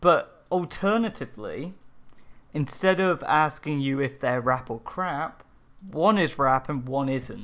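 Lively intonation marks the fairly slow speech of a man whose pitch sits fairly high. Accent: English. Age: 20s. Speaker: podcast co-host. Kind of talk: casual chat.

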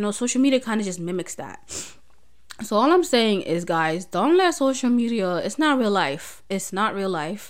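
A woman speaks in a plain, everyday voice at a moderate pace. Her intonation is lively, and the recording is very clean with a silent background. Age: 20s. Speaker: podcast host. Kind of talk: casual solo chat. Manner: nervous, chatty, laughs often.

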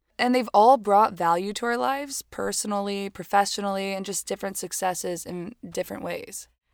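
Speaking at a fairly quick pace with hardly any pauses, a woman with an American accent and medium pitch shows ordinary pitch variation and big swings in loudness, in a very clean, dry, close recording with no echo and a silent background. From Miami, Florida (Cuban community). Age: 20s. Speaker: podcast co-host, photographer. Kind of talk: casual chat. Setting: in a closet.

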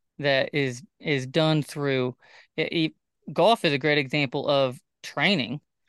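With an ordinary speaking voice, a man talks at a fairly slow pace in a fairly high pitch with ordinary pitch variation and very even loudness, the sound dry and close with no echo over a quiet background. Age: 20s. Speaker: podcast host and bull rider. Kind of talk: casual chat.

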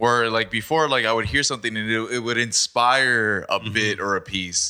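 With a bright, sharp tone, a man speaks at a moderate pace. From Mexico, Baja California. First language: Spanish. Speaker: podcast guest. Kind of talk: casual chat.

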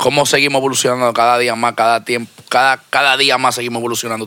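Against noticeable background noise, a man races along at a very fast pace, medium in pitch and monotone, flat in intonation. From Dominican Republic. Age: 30s. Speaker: music label owner. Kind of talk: casual interview.

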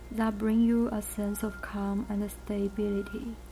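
A woman with a gentle tone talks at a fairly slow pace over noticeable background noise. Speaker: meditation guide. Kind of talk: guided meditation, calm and soothing, with gentle instructions. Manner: slow, soft-spoken; gentle, measured, with pauses between instructions.

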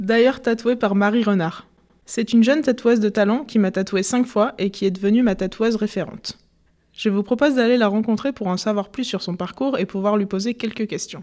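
A woman with an ordinary speaking voice talks at a fairly quick pace and a fairly high pitch, her intonation fairly even. The recording is very clean, with a silent background. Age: 20s. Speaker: podcast host. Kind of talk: scripted narration; interview.

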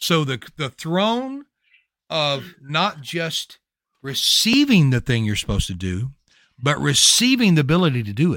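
A man with a Louisiana accent speaks at a fairly slow pace in a bright, sharp tone and fairly high pitch. His pitch swings very widely, and the recording is very clean with a silent background. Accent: Louisiana Southern US. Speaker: prayer ministry podcaster. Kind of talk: bible teaching in casual video chat.

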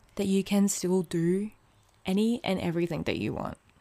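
A woman speaks with an Australian accent in a medium pitch and an animated tone. The recording is very clean, with a silent background. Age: 20s. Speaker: podcast host. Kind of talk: casual monologue.

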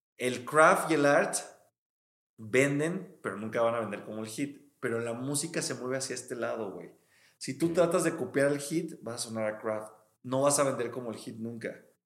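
The recording carries audible room echo. A man speaks at a moderate pace in a medium pitch. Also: ordinary pitch variation. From Mexico, Veracruz. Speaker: music producer. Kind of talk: casual chat.

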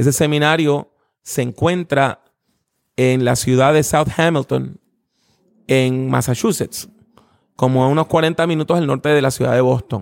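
Fairly slow and fairly high-pitched, a man speaks with very even loudness and long, frequent pauses. The very clean recording has a silent background and a dry, close sound with no echo. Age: 50s. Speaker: preacher and theology professor. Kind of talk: interview.

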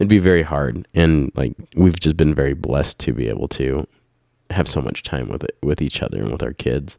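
With a dark, mellow tone and vocal fry, a man speaks at a very deep, low pitch and a moderate pace, with ordinary pitch variation and a dry, close sound with no echo. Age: 30s. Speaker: podcast host and parent running a family business. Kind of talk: casual chat. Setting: home podcast with spouse.

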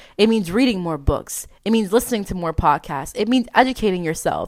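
In a very clean recording with a silent background, a woman with an American accent speaks at a fairly quick pace in an animated, upbeat tone, at a medium pitch with ordinary pitch variation. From Memphis, Tennessee (US South), then South Florida. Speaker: self-help podcast host. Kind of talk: motivational solo monologue.

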